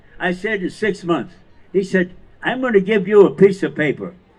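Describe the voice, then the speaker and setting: An American accent marks this man's speech. His pitch is high, with ordinary pitch variation. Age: 80s+. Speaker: war veteran. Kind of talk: storytelling talk to audience.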